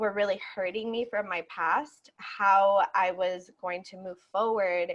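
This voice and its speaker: Fairly slow speech from a woman at a medium pitch, in a Spanish accent. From Puerto Rico. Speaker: yoga instructor and activist. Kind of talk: interview. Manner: hesitant, many fillers.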